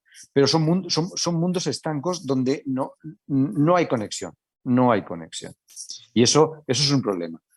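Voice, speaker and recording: Talking at a fairly slow pace, a man with a fairly high pitch makes very wide pitch swings. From Italy. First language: Italian (speaking Spanish). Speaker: hospital medical director. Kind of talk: panel discussion. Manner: halting, many repetitions and fillers.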